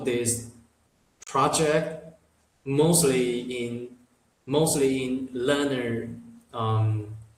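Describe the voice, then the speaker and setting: In a room with audible echo, a man talks at a very slow pace in a medium pitch with ordinary pitch variation. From Taiwan. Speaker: English learner. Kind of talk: interview. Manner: halting, many repetitions and fillers.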